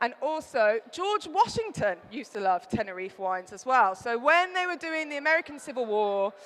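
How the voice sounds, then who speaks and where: Speaking in a Birmingham accent, a woman with a high pitch makes very wide pitch swings and big swings in loudness, with hardly any pauses. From Birmingham, England. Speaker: wine writer and presenter. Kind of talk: trade show talk. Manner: fast.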